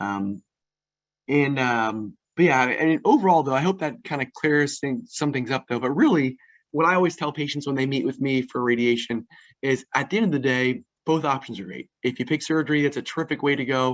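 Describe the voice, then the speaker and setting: At a fairly quick pace, this man's pitch varies in an ordinary way. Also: fairly high pitch for a man. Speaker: radiation oncologist. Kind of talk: lecture. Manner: fast.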